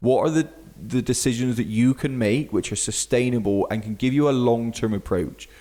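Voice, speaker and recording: A man with a Bristolian accent, dark, mellow tone, moderate pace and ordinary pitch variation. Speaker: fitness coach and podcast host. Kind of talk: podcast monologue. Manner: casual, with fillers.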